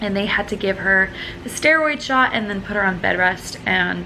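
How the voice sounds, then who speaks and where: Noticeable background noise accompanies a woman speaking at a moderate pace and a medium pitch. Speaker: vlogger. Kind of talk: personal vlog. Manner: mumbling.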